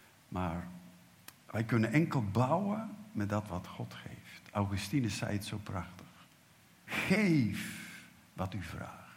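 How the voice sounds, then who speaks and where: A man speaks at a very slow pace, somewhat breathy, with lively intonation. Audible room echo surrounds his voice. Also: fairly low pitch for a man. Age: 70s. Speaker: preacher. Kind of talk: sermon.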